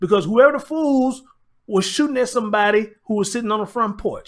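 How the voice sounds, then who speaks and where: In a very clean recording with a silent background, a man with an extremely high pitch speaks in an animated tone with ordinary pitch variation. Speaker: live-stream commentary host. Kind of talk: live-stream commentary. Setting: live stream. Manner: emotional, animated.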